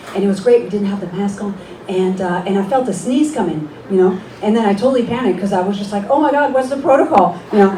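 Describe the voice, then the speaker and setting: Noticeable background noise and audible room echo surround a woman speaking at a very fast pace. Her intonation is lively and her pitch medium. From France. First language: French. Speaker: stand-up comedian. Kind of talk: stand-up. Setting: stage with audience. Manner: halting.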